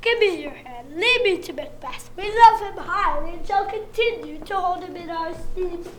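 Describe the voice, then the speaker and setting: A woman uses a put-on character voice at an extremely high pitch with lively intonation. Clear background noise runs underneath. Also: moderate pace. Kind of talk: community stage Shakespeare. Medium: stage play. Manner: gracious.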